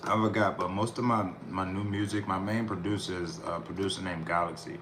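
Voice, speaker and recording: Fairly even intonation and a fairly quick pace come through audible room echo and noticeable background noise. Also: man, fairly low pitch for a man. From US Northeast, Philadelphia. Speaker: rapper and music producer streamer. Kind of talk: casual live-stream talk while mixing music.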